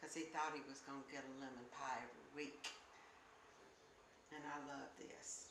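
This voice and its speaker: In a room with audible echo, a woman with an Alabama accent talks at a moderate pace in a flat, monotone delivery. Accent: Southern US (Alabama). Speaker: grandmother. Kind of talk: interview.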